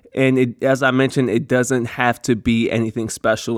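A man uses a normal speaking voice at a medium pitch with fairly even intonation. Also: dry, close sound with no echo. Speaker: podcast host. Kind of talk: solo podcast monologue with advice. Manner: casual, conversational, filler words.

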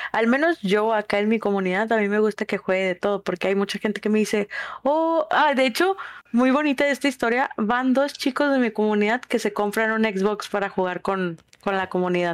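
This woman speaks at a fairly quick pace with a northern Mexican accent, a fairly high pitch, lively intonation and very even loudness, in a dry, close sound with no echo. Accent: northern Mexican (Monterrey). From Monterrey, northern Mexico. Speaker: streamer and preschool teacher. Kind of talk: casual chat.

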